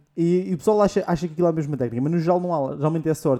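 This man's voice is fairly high with a dark, mellow tone. He talks at a very fast pace with ordinary pitch variation. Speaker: podcast host. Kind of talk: casual chat.

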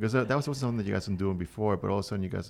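A man with a very deep, low pitch and vocal fry speaks with ordinary pitch variation. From Venezuela. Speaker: podcast host. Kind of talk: casual interview.

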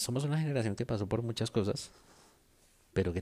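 A man talks at a fairly quick pace in a dark, mellow, somewhat breathy voice with ordinary pitch variation. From Colombia. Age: 30s. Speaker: podcaster. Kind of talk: casual monologue. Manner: modulated radio-style delivery.

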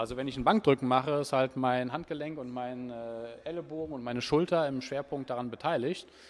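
An unremarkable speaking voice from a man, with ordinary pitch variation. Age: 40s. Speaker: personal trainer. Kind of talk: interview.

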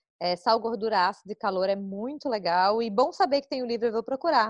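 Speaking at a fairly quick pace, a woman with an ordinary speaking voice shows ordinary pitch variation at a fairly high pitch. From southern Brazil, Florianópolis. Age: 30s. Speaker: podcast host, journalist and former cooking show contestant. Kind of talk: casual chat.

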